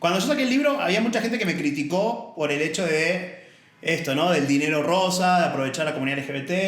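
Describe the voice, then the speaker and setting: A man speaks very fast in an Argentine accent. Room echo is audible, and background noise is noticeable. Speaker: author and diversity advocate, former accountant. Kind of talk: casual podcast interview.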